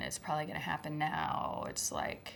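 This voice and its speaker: The speaker is a woman. She is soft-spoken. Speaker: former schoolteacher. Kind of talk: testimony.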